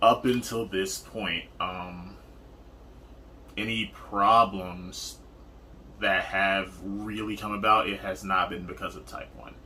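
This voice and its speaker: A man speaks very slowly with long, frequent pauses, his fairly low voice bright and sharp in tone, the intonation fairly even while the loudness swings widely. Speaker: partner of a type one diabetic. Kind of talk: casual chat.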